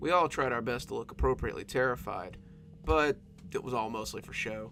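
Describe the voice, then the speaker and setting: Music plays in the background as a man speaks fairly quickly with lively intonation. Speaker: horror story narrator. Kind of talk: scary story reading.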